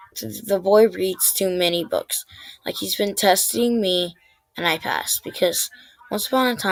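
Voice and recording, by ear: Reading aloud in a natural voice, with ordinary movement in pitch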